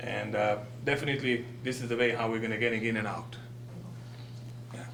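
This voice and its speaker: A man with a non-native accent speaks at a fairly quick pace in a medium pitch and a monotone, flat intonation, with noticeable background noise and audible room echo. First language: not English. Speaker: business owner presenting to village board. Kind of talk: public presentation at board meeting. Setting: village board meeting. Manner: halting.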